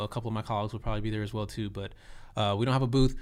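A man is speaking. He has a Texan accent. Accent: Texan American. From Texas, South Austin. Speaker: cannabis company community relations manager, former educator. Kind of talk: casual interview.

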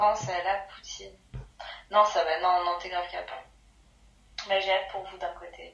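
A woman's medium-pitched, monotone, flat voice with big swings in loudness and long, frequent pauses, plus audible room echo and noticeable background noise. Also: moderate pace. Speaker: friend of the host. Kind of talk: casual chat.

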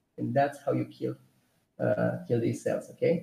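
A man with a Romanian accent and vocal fry. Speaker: personal trainer and nutrition technician. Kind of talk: casual interview. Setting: live stream.

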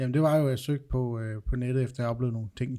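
A man of medium pitch with a dark, mellow tone at a very fast pace, on a very clean recording with a silent background. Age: 30s. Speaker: podcast host, ghost hunter. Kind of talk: casual chat.

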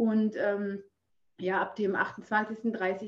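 Here is a woman speaking. Her pitch sits fairly high. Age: 40s. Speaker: fitness trainer and Instagram creator. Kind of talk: casual interview. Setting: video call.

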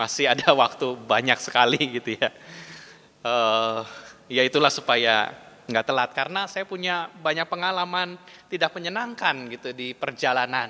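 A man speaks at a medium pitch and a moderate pace. His tone is bright and sharp, with lively intonation. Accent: West Javanese. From West Java (Bandung). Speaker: pastor. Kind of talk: sermon. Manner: conversational.

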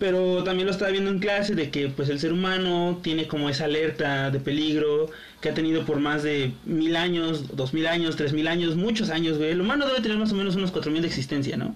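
A man with a Mexican accent talks at a fairly quick pace and a fairly high pitch with hardly any pauses, very even loudness and ordinary pitch variation, amid audible room echo and noticeable background noise. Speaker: podcast co-host. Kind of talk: casual chat.

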